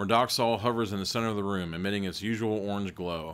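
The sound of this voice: An unforced reading voice carries the whole clip.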